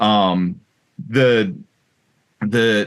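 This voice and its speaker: A man speaks in a fairly low voice against a quiet background. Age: 40s. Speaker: podcast host. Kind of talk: casual interview.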